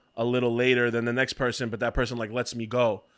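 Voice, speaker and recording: Someone with a New York accent speaks at a very fast pace on a very clean recording with a silent background. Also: man. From New York, Brooklyn. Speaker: podcast co-host and clothing brand founder. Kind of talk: casual chat. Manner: animated.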